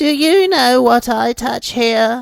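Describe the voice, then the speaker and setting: A put-on character voice at a fairly high pitch. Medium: read story. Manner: imperious, eerie.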